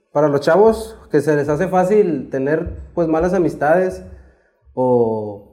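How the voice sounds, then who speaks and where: A man speaks in a fairly high pitch with a dark, mellow tone. His intonation is lively, and there is audible room echo. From Mexico, Saltillo, Coahuila. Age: 20s. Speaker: former cartel member. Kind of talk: testimony. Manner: casual, slangy.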